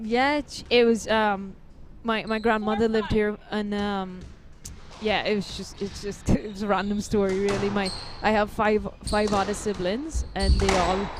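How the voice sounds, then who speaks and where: A woman speaks at a medium pitch and a fairly slow pace, with fairly even intonation. Noticeable background noise runs underneath. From Guyana. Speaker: professional squash player. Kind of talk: post-match interview. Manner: halting, many fillers.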